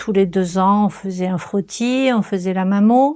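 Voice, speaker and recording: Speaking fairly slowly, a woman talks in a medium pitch. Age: 60s. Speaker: cancer patient. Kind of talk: testimony. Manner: halting.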